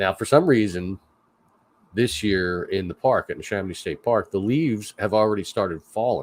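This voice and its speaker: This man speaks with a Philadelphia accent at a fairly low pitch. His pace is moderate. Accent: Philly. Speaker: livestream host, park worker. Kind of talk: casual chat. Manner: halting.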